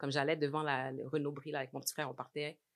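Her very deep, low pitch stays in a monotone, flat intonation as the woman speaks. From Montreal, Quebec (Saint-Michel). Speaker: interventional cardiologist. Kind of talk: casual interview chat.

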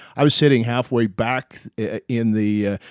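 Recorded very cleanly against a silent background with a dry, close sound and no echo, a normal speaking voice moves at a moderate pace with ordinary pitch variation. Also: man. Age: 50s. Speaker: podcast host. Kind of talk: casual chat.

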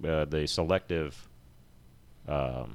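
This man has a very deep, low pitch with ordinary pitch variation. He speaks at a very slow pace. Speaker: former sheriff's sergeant and winery owner. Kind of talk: casual chat.

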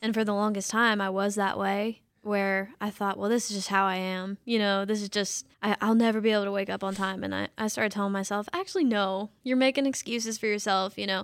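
Fairly quick and monotone, a woman talks at a medium pitch with flat intonation. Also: hardly any pauses, very clean recording, silent background. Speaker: social media coordinator and podcast host. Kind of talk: interview-style podcast chat.

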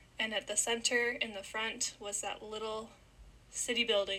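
With a Canadian accent, this speaker uses a bright, sharp tone and monotone, flat intonation at a fairly slow pace. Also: woman. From Ontario, Canada. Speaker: podcast host, university student. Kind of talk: casual solo podcast narration.

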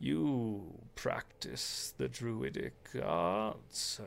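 A man puts on a character voice that is gravelly and resonant, pitched fairly low. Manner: sonorous.

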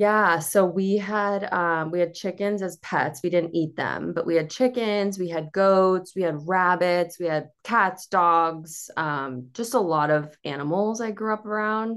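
Speaking with an American accent, a woman with an unremarkable speaking voice talks at a fairly slow pace and medium pitch, with ordinary pitch variation, against a quiet background. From Cape Cod, Massachusetts. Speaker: dietitian. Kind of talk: casual interview chat.

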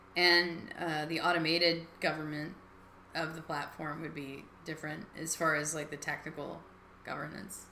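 A woman's voice over noticeable background noise. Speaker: podcast host. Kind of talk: live call-in talk show. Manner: halting.

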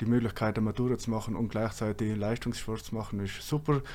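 A medium-pitched male voice in a South Tyrolean accent, dark and mellow in tone, with monotone, flat intonation. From South Tyrol, Langtaufers valley. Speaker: engineer, former ski racer. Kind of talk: interview.

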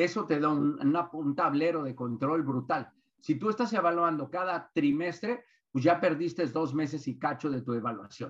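Here a man has an ordinary speaking voice, fairly high in pitch, with ordinary pitch variation and a moderate pace. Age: 60s. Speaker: business consultant and author. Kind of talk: webinar lecture.

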